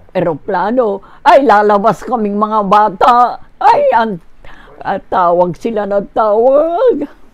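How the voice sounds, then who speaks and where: At a very slow pace, a woman with a fairly high pitch speaks with lively intonation. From Philippines. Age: 80s+. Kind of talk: interview answer.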